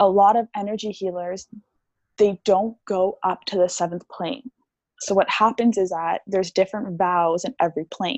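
In a dry, close sound with no echo, a woman with a plain, everyday voice speaks fairly slowly at a medium pitch and with fairly even intonation. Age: 20s. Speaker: theta healing practitioner and meditation coach. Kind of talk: interview conversation.

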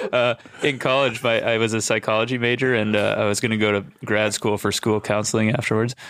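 A man's very fast, medium-pitched delivery with an American accent, monotone and flat, at very even loudness. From Minnesota. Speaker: college baseball coach. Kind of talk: casual chat.

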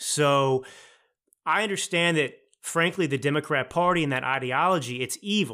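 An unremarkable speaking voice from a man with an American accent, fairly high in pitch, with lively intonation at a moderate pace, in a very clean recording with a silent background. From Texas, Dallas. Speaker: author and political commentator. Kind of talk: interview.

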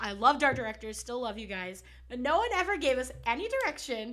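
Bright and sharp in tone, a woman speaks at a high pitch in a raised, projected voice, fairly quick and animated, with very wide pitch swings. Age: 20s. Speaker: podcast co-host. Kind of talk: casual chat.

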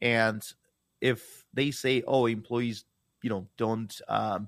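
The recording is very clean, with a silent background. A man speaks at medium pitch with a Russian accent. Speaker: business founder and CEO. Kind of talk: interview conversation.

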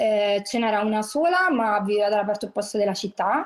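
A woman is speaking. She has a Roman accent. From Rome, Italy (working-class neighbourhood). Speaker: podcast guest. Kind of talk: casual chat.

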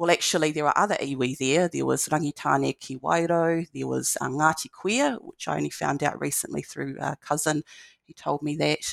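With a dry, close sound and no echo, a woman's voice proceeds at a moderate pace. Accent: New Zealand. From New Zealand, Marlborough (Blenheim). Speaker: lecturer in education. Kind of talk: interview.

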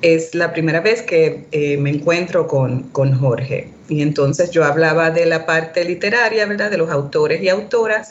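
Over noticeable background noise, a woman with a fairly low pitch talks at a fairly slow pace with hardly any pauses. Her loudness is very even, and her pitch variation is ordinary. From Puerto Rico, raised in Boston. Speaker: academic author. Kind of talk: interview conversation. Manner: halting, many fillers.

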